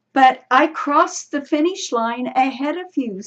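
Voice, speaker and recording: High pitch and a moderate pace in a woman's put-on character voice. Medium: read story. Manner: calm.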